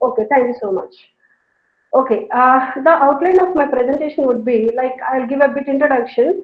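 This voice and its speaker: A woman speaks with a South Indian accent. Her voice is high, with ordinary pitch variation. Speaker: professor. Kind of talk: lecture. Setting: online video call. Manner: fast.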